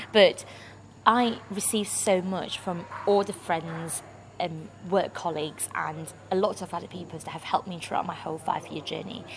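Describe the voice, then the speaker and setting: Over noticeable background noise, a woman with a fairly low pitch talks at a moderate pace, her intonation fairly even but her loudness swinging widely. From Malaysia. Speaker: international student campaigner. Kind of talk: personal talk to camera. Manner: halting, with frequent fillers.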